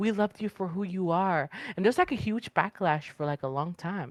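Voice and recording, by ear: A woman's fairly low voice at a moderate pace, ordinary pitch variation, and a dry, close sound with no echo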